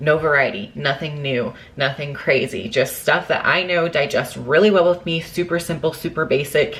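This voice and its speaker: Against noticeable background noise, a woman with a very deep, low pitch speaks at a moderate pace with ordinary pitch variation. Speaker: fitness vlogger, bikini competitor. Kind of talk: casual vlog.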